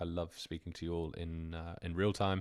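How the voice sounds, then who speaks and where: A man with a British accent at a fairly quick pace, on a very clean recording with a silent background. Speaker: YouTube thumbnail coach. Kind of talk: live stream Q&A. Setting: live stream. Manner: casual, hesitant with fillers.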